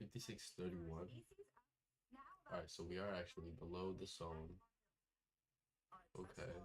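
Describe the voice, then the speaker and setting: Soft-spoken and somewhat breathy, a man talks at a moderate pace with a very deep, low pitch, fairly even intonation, very even loudness and long, frequent pauses. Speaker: futures day trader streamer. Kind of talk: live trading commentary. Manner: casual, filler-heavy. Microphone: far from the mic.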